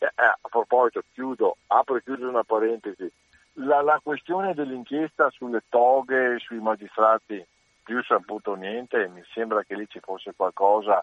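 An unremarkable speaking voice from a man, medium in pitch, with ordinary pitch variation, a moderate pace, and big swings in loudness. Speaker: caller. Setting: phone call.

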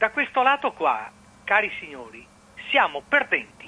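At a fairly slow pace, a man speaks. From Venice. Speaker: caller. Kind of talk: radio call-in comment. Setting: phone call.

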